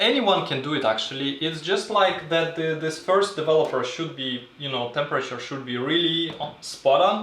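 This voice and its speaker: A man with a non-native accent and a fairly high pitch talks at a moderate pace with hardly any pauses and ordinary pitch variation, amid noticeable background noise and audible room echo. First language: not English. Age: 30s. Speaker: film photographer and video creator. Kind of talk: livestream tutorial. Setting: home darkroom livestream. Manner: halting, many fillers.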